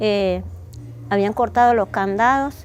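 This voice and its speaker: Over background music, a woman speaks at a moderate pace with lively intonation and medium pitch. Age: 60s. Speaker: displaced widow. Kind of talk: testimony. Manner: halting.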